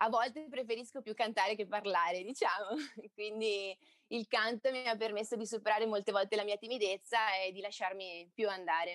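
At a fairly quick pace, a woman with a plain, everyday voice speaks at a fairly high pitch with fairly even intonation, in a dry, close sound with no echo. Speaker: singer. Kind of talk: casual interview.

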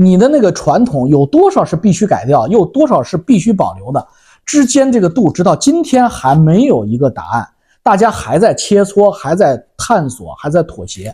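A man talks at a moderate pace in a dark, mellow tone. His pitch swings very widely. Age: 50s. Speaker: YouTuber answering viewer questions. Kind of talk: casual monologue commentary.

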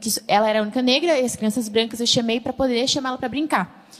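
Speaking at a very fast pace, a woman has a high pitch. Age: young. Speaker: church youth member. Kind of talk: panel discussion.

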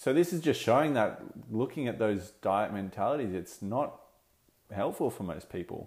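In an Australian accent, a man speaks at a moderate pace with a fairly low pitch and lively intonation on a very clean recording with a silent background. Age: 20s. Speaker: dietitian and podcast host. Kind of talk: solo podcast monologue.

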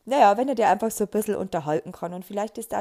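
Fairly high female speech, dark and mellow in tone. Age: 30s. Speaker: podcaster. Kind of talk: casual monologue.

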